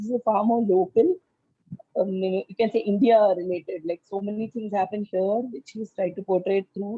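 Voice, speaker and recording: This woman speaks with a Tamil accent at a moderate pace. Her pitch sits in the medium range, with ordinary variation. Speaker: book club member. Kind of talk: casual discussion. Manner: halting, many fillers.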